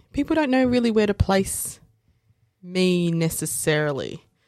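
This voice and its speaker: With very wide pitch swings, a woman in an Australian accent speaks at a fairly slow pace on a very clean recording with a silent background. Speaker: lawyer. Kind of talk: casual chat. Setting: studio. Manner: animated.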